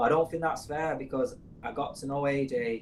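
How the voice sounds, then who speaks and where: A man speaks at a medium pitch with a Mancunian accent. His pace is fairly quick. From northern England, Manchester. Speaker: podcast co-host. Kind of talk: casual chat. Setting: studio.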